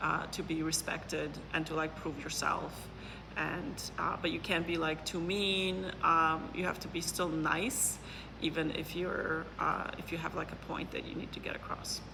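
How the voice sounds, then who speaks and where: Whispering from a woman at a fairly slow pace, with audible room echo and noticeable background noise. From Poland. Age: 40s. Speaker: neuroscientist and business consultant. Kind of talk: interview. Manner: hesitant, many fillers.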